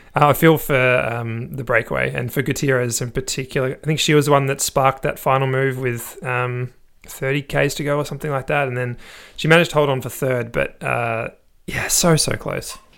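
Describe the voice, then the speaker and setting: A man with a plain, everyday voice, medium pitch, fairly even intonation and a fairly quick pace on a very clean recording with a silent background. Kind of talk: casual chat.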